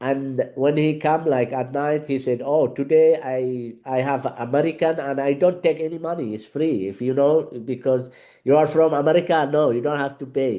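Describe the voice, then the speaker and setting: A man speaks at a moderate pace with a fairly high pitch and a dark, mellow tone. His intonation stays fairly even against a quiet background. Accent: Arabic. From Yemen. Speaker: Arabic teacher. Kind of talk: interview conversation. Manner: halting, many fillers.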